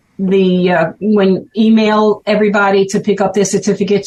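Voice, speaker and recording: A woman's somewhat breathy, medium-pitched voice in a Brooklyn accent at a moderate pace. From Brooklyn, New York. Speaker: ham radio operator, event organizer. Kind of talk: casual interview chat.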